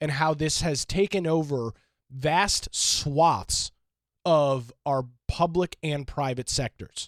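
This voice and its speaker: A man speaks at a very slow pace with ordinary pitch variation. The recording is very clean and silent in the background, with a dry, close sound and no echo. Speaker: radio talk show host. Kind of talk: talk radio monologue. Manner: hesitant, many fillers.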